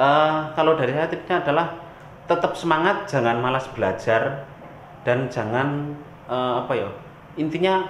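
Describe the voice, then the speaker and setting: A man speaks at a fairly high pitch with a strong Javanese accent. Noticeable background noise and audible room echo surround his voice. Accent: strong Javanese (medok) in Indonesian. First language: Javanese (speaking Indonesian). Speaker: reggae musician. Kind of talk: interview. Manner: casual.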